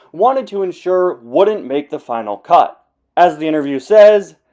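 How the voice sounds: In a natural reading voice with lively intonation, the speaker is heard against a quiet background.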